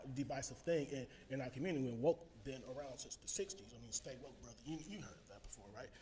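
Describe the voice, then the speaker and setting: The voice is somewhat breathy, with an American accent, over light background noise. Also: man. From Texas. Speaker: audience member asking a question; audience member. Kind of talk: audience question. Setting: live event with microphone. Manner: halting. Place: meeting room.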